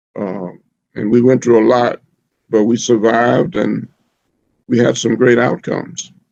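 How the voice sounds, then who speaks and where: Speaking in a Southern US accent, the man keeps a medium pitch. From rural Alabama. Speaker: physician, former US Surgeon General. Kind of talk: oral history interview answer.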